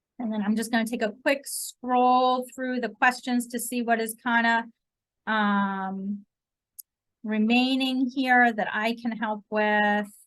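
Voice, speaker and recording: A woman talks very slowly at a fairly high pitch. Her intonation stays flat and monotone. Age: 20s. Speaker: school counselor. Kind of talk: presentation to parents on video call. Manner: casual, many fillers.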